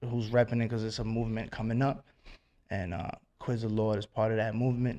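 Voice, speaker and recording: Talking at a fairly quick pace, a man with a New York accent has a medium pitch. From Westchester County, New York. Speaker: rapper. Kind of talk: radio interview. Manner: animated.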